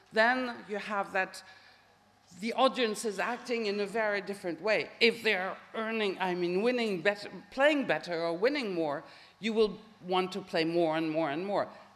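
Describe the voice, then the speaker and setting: Moderate pace from a woman with a French accent, ordinary pitch variation and audible room echo. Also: medium pitch for a woman. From France. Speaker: professor, social psychologist. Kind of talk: Q&A answer after lecture. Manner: hesitant.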